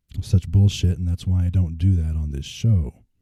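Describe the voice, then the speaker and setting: A man's very deep, low voice, somewhat breathy, with a dark, mellow tone at a moderate pace. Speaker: podcast host. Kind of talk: casual podcast monologue. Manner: some stuttering and repetition.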